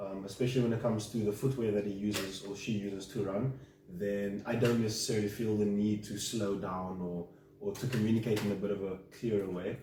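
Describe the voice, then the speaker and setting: A man with a fairly low pitch talks at a fairly quick pace, with audible room echo and noticeable background noise. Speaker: client in a coaching session. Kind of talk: coaching session conversation. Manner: hesitant, many fillers.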